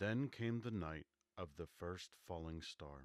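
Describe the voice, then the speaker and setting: This soft-spoken man has a very deep, low pitch and ordinary pitch variation, talking at a very slow pace in a dry, close sound with no echo. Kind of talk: audiobook reading of classic novel.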